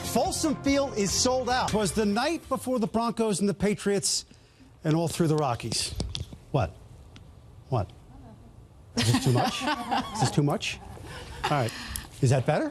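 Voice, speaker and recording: Over noticeable background noise, a man with a high pitch talks at a moderate pace in an upbeat, energetic tone, his pitch swinging very widely while his loudness stays very even, with long, frequent pauses. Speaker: TV sports anchor. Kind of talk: TV sports anchor newscast. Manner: upbeat, energetic, punchy.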